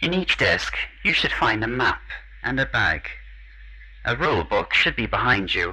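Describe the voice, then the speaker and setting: The speaker goes at a moderate pace with long, frequent pauses against noticeable background noise. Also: man. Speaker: voice actor playing villain. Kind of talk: menacing character dialogue. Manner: taunting, mock-polite.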